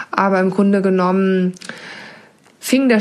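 Over noticeable background noise, a woman talks at a moderate pace in a medium pitch. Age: 30s. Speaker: financial controller. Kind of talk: pre-recorded personal testimony.

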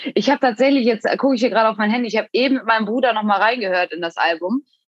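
Words pour out of a woman at a very fast clip. Her voice sounds dry and close, free of any echo. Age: 20s. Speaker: athlete and fitness influencer. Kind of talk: casual chat.

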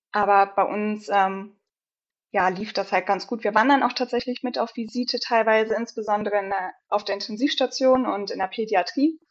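This woman has a plain, everyday voice, pitched fairly high, with ordinary pitch variation at a moderate pace. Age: 20s. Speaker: pharmacist. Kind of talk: casual chat.

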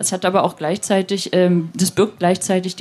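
This woman's pitch is medium. She keeps a moderate pace. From eastern Germany, Rostock. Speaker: online magazine editor-in-chief. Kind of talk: interview.

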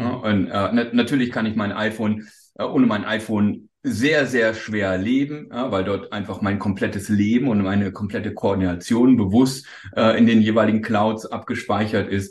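A man talks at a fairly low pitch. His pace is moderate and his intonation fairly even. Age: 40s. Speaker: startup executive. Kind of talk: interview. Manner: halting.

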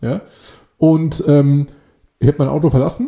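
A fairly high male voice, dark and mellow in tone and somewhat breathy. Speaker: podcast co-host. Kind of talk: casual chat.

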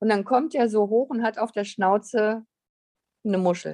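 A woman speaks at a medium pitch with a dark, mellow tone, and the sound is dry and close with no echo. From Lower Saxony, Germany. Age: 50s. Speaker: artist and spiritual guide. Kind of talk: casual interview chat.

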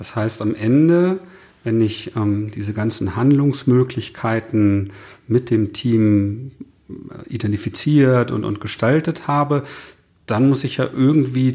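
Dark and mellow in tone, this voice moves at a fairly slow pace with ordinary pitch variation. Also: man. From northern Germany. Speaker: podcast host, consultant. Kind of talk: casual interview conversation. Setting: in person in Cologne.

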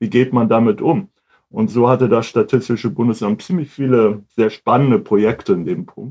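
A man's dark, mellow tone carries lively intonation. He keeps a moderate pace. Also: medium pitch for a man. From northern Germany, Hamburg. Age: 50s. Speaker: statistics office department head. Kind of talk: interview.

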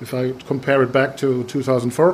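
Through noticeable background noise comes a man's voice at a fairly high pitch. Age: 40s. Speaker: podcast host, innovation consultant. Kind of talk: interview. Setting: conference in Germany. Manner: halting, many fillers.

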